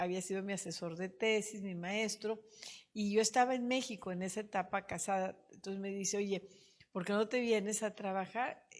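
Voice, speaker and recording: A woman speaks in a plain, everyday voice at medium pitch. Her pace is moderate and her intonation fairly even. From Monterrey, northern Mexico. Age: 60s. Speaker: politician, mayor. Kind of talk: interview, personal storytelling.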